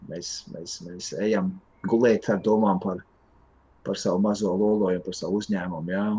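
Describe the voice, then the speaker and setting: A man talks in a fairly low pitch. His pitch variation is ordinary. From Latvia, Limbaži. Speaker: entrepreneur, vape shop owner. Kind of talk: interview talk. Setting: video call. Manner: halting, many repeated words.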